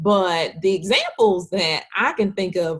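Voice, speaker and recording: With a strong Southern US accent, a woman speaks at a very slow pace over a quiet background. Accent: thick Southern US. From US South, Hattiesburg, Mississippi. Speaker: webcast host. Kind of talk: interview conversation.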